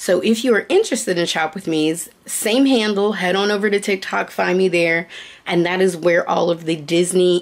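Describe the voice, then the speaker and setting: Her pitch is fairly low, with ordinary variation. The woman keeps a moderate pace. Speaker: vlogger. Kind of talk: casual vlog chat. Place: home room. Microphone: phone near.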